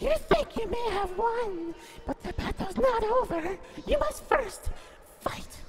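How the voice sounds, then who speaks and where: An extremely high-pitched, put-on character voice speaks at a fairly slow pace. Loud music plays in the background. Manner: ominous, theatrical.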